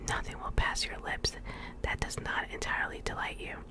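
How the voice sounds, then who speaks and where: Whispering and soft-spoken, a woman talks at a moderate pace over loud background noise. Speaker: reader. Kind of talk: soft story reading aloud. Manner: soft whispered ASMR reading. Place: home room. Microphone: studio mic.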